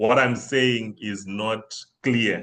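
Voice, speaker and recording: In a Zimbabwean accent, a man speaks at medium pitch. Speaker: banking systems consultant. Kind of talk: webinar presentation. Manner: hesitant, many fillers.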